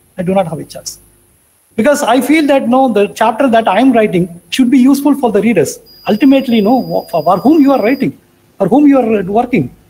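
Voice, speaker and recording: A man speaks at a very fast pace with an extremely high pitch. His intonation is lively. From India. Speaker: research professor, materials scientist; research professor. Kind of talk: lecture. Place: home room. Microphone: video call.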